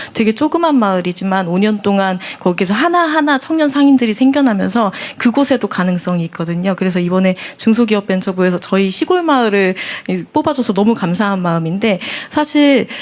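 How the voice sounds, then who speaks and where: A woman talks at a fairly quick pace with very wide pitch swings and very even loudness, over noticeable background noise. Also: medium pitch for a woman. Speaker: local business entrepreneur. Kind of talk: town hall comment. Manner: fast.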